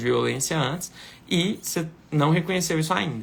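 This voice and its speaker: A man speaks with a fairly high pitch. His voice has vocal fry. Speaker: lawyer. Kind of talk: live Q&A consultation. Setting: live stream.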